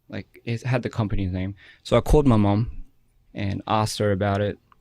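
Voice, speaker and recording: In a very clean recording with a silent background, a soft-spoken man with an Australian accent talks at a moderate pace, his fairly low pitch held to fairly even intonation. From Australia, Wollongong. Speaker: musician, former K-pop idol. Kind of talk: interview. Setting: studio. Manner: halting, many fillers.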